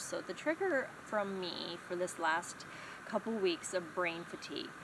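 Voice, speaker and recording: Medium-pitched female speech over noticeable background noise. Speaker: vlogger sharing brain injury recovery. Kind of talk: personal vlog talk. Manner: halting, many fillers.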